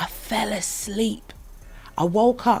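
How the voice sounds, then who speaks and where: A woman talks at a fairly high pitch, somewhat breathy, with ordinary pitch variation. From northern England (Leeds, Yorkshire). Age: 20s. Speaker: singer-songwriter. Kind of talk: casual chat. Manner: animated.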